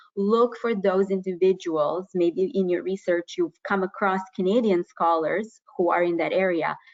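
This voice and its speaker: In a plain, everyday voice, a woman of medium pitch talks at a moderate pace with fairly even intonation. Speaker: university professor and researcher. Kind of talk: webinar presentation. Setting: online webinar.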